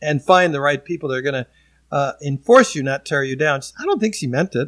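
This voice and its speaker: A man's fairly high-pitched voice, an ordinary speaking voice with ordinary pitch variation, on a very clean recording with a silent background and a dry, close sound with no echo. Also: fairly quick pace. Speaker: auctioneer and former broadcast television news journalist. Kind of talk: casual interview answer, storytelling.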